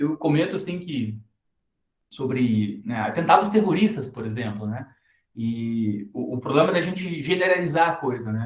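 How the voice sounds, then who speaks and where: Somewhat breathy, a man talks at a moderate pace with very wide pitch swings. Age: 30s. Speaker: university lecturer. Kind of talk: recorded lecture. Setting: recorded class video. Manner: hesitant, many fillers.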